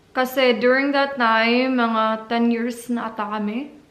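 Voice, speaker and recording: A woman with a Visayan Filipino accent speaks at a very slow pace in a high pitch. Room echo is audible. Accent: Filipino (Cebuano) English. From Philippines, Cebu. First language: Cebuano. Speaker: vlogger, au pair. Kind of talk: casual vlog talk.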